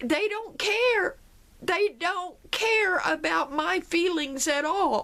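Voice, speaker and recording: An extremely high-pitched woman's raised, projected voice, bright and sharp in tone, with lively intonation at a very slow pace. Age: 50s. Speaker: vlogger sharing personal story. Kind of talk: personal testimony monologue.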